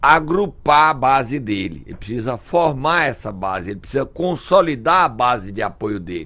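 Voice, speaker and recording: Speaking at a moderate pace and medium pitch, a man uses an ordinary speaking voice with lively intonation. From Brazil, Ceará (Sobral). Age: 60s. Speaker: political commentator. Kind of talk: radio talk show commentary. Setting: radio studio.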